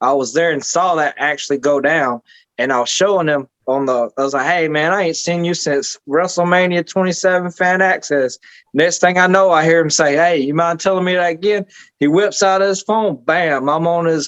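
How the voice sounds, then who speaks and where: A man's high voice in a Southern US accent, dry and close with no echo, at a moderate pace with ordinary pitch variation and very even loudness. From Georgia. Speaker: podcast host and independent wrestler. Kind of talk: casual chat. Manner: animated.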